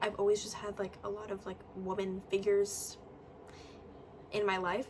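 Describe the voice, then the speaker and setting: Here a woman is speaking. Noticeable background noise is present. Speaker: vlogger. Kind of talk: casual chat.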